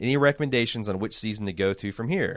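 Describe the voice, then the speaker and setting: Over a quiet background, the speech runs at a very fast pace with ordinary pitch variation. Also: man. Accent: Midwestern US. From Indiana, US Midwest. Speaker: podcast host. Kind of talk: casual chat.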